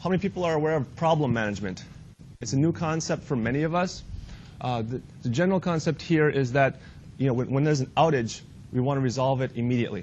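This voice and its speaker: Somewhat breathy and fairly high-pitched, a man talks at a very fast pace with ordinary pitch variation. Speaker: IT trainer. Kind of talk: training workshop.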